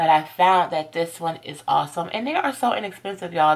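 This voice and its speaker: A woman talks at a moderate pace in a plain, everyday voice, fairly low in pitch, on a very clean recording with a silent background. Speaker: natural hair vlogger. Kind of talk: product review tutorial. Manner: casual, chatty.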